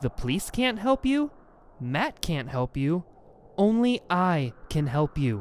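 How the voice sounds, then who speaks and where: A man's put-on, growling character voice at fairly high pitch, with very wide pitch swings, a fairly slow pace and very even loudness, on a very clean recording with a silent background. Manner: snarling, furious.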